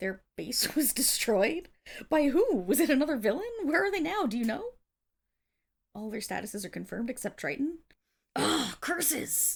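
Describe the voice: A woman uses a put-on character voice, pitched high with big pitch swings. It has vocal fry, a slightly husky edge and a fairly slow pace.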